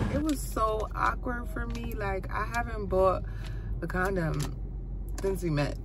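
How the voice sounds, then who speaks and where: Music plays in the background as a woman talks at a moderate pace. The sound is dry, with no echo. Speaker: vlogger. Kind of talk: casual vlog chat. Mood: excited, a bit nervous. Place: car. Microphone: phone near.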